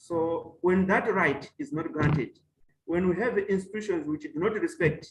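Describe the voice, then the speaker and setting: A man speaks with a Malawian accent. His pitch is high and his pace is moderate. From Mozambique. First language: Chewa. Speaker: professor. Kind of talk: webinar talk. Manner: halting.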